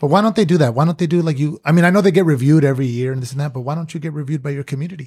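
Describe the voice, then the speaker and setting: The man's voice, pitched fairly high and somewhat breathy, rises and falls with ordinary pitch variation. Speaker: recurring podcast guest, former bar staff. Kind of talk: casual chat. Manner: calm.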